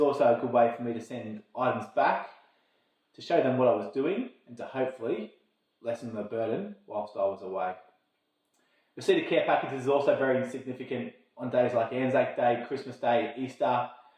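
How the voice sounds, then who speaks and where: A man with an Australian accent, fairly quick pace and ordinary pitch variation. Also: medium pitch for a man, big swings in loudness. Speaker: army logistics officer. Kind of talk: informational talk to camera. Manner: fast; slurred words.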